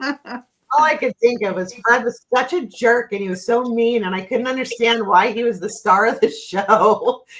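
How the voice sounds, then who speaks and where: A woman with a fairly high pitch and a normal speaking voice talks at a moderate pace with hardly any pauses. Her pitch variation is ordinary. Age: 50s. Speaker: spiritual reader and streamer. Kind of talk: casual chat.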